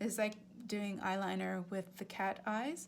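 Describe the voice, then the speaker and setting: A woman speaks with vocal fry and fairly even intonation. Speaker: art instructor. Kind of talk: tutorial. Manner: casual, with many fillers and restarts; fairly quick.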